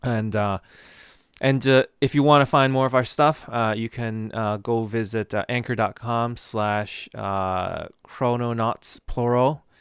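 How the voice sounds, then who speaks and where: Intonation stays fairly even as a man speaks with an American accent. His pace is very slow. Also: medium pitch for a man, dry, close sound with no echo, very clean recording, silent background. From Boston area, US. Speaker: podcast host, IT worker. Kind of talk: casual chat.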